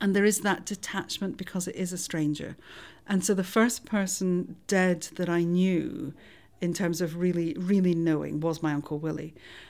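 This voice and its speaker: A woman with a Scottish accent talks at a moderate pace with fairly even intonation. Her pitch is fairly low, and the recording is very clean with a silent background. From Scotland. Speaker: forensic anthropologist. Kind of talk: interview.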